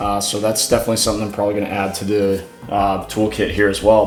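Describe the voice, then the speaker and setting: A man speaking at a very fast pace, with audible room echo and music in the background. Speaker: car enthusiast YouTuber. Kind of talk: garage tutorial vlog. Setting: home garage. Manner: casual, with fillers.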